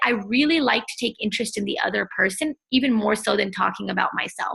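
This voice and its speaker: A woman with a fairly high pitch at a fairly quick pace. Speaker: entrepreneur and self-help blogger. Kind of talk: interview. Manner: loud.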